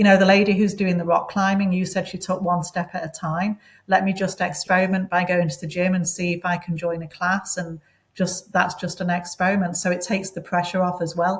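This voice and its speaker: With a British accent, the speaker talks in a somewhat breathy voice and a monotone, flat intonation. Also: woman, medium pitch for a woman, fairly quick pace, very clean recording, silent background. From England, Manchester. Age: 60s. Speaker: interview guest. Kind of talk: interview.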